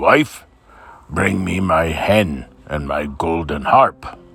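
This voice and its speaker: Growling, very deep, low put-on character voice from a man, at a very slow pace. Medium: read story. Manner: slow, bellowing.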